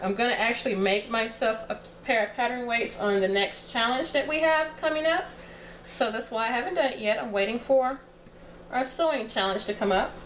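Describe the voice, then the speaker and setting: Woman with a Texas accent, fairly high pitched with ordinary pitch variation, at a fairly quick pace amid audible room echo and noticeable background noise. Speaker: sewing tutorial creator. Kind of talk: tutorial. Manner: casual, conversational with fillers.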